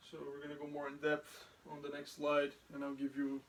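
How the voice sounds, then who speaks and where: Speaking at a fairly quick pace with a non-native accent, a man uses monotone, flat intonation at a fairly high pitch. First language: not English. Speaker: soldier. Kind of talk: lecture. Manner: halting.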